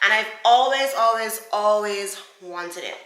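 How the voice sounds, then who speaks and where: A woman's fairly high voice, bright and sharp in tone, with lively intonation at a fairly slow pace and audible room echo. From Barbados. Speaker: beauty vlogger. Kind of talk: product review vlog. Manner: casual, chatty.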